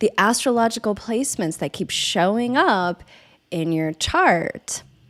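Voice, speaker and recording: Pitch swings very widely throughout this very clean recording with a silent background. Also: woman, fairly high pitch for a woman. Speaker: podcast host, astrology and herbalism teacher. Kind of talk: podcast intro monologue.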